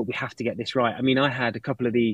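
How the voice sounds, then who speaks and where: A man speaks with a British accent at a medium pitch. His pace is very fast. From Britain. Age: 40s. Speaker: watch brand director. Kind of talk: interview. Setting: office, live stream.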